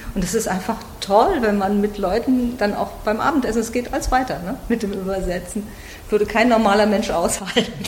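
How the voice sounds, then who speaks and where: Through noticeable background noise and audible room echo, a woman speaks at a fairly quick pace with a fairly high pitch and ordinary pitch variation. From Germany. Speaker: literary translator and workshop leader. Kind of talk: interview.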